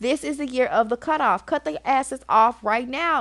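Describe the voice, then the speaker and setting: A woman speaks in a raised, projected, animated voice at a high pitch with lively intonation and a moderate pace. The sound is dry and close with no echo, over a quiet background. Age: 30s. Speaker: podcast host. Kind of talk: casual monologue to listeners.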